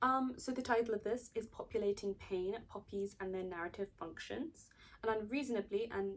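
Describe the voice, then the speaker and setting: A woman speaks with a British accent at a medium pitch. Her pitch variation is ordinary. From Britain. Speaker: video essayist. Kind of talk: video essay, partly read from notes. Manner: casual, with fillers and self-corrections.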